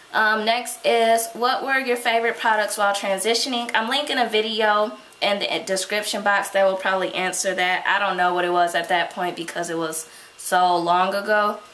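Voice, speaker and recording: A woman at a moderate pace, her intonation fairly even, with audible room echo and noticeable background noise. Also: medium pitch for a woman. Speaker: beauty vlogger. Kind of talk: Q&A vlog.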